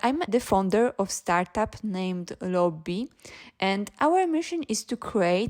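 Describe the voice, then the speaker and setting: A woman speaks at a fairly slow pace in a Polish accent. The recording is very clean, with a silent background. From Poland. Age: 20s. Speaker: startup founder. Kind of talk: interview.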